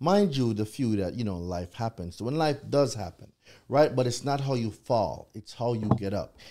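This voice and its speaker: At a moderate pace, a man with a medium pitch and a dark, mellow tone speaks with lively intonation on a very clean recording with a silent background. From Jamaica. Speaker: consumer credit law expert. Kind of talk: live podcast interview.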